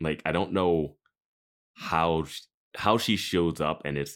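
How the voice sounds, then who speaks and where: On a very clean recording with a silent background, a man speaks with vocal fry at a very deep, low pitch. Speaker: podcast host. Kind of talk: casual chat. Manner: joking.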